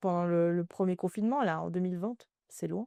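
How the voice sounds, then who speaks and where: In a quiet background with a dry, close sound and no echo, a woman of medium pitch speaks at a fairly quick pace with ordinary pitch variation. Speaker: podcast guest, crime fiction reader. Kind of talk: casual chat. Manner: hesitant, many fillers.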